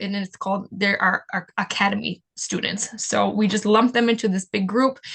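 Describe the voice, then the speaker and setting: Her pitch sits fairly high. This woman keeps her intonation fairly even. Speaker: nonprofit program coordinator. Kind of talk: webinar presentation. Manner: fast.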